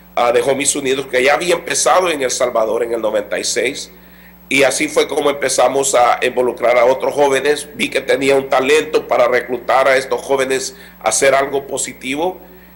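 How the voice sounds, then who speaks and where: Noticeable background noise plays under a man speaking fairly quickly. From Los Angeles, raised in US by Salvadoran parents. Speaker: former gang member, community organization worker. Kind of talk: interview testimony. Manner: halting, with repetitions and fillers.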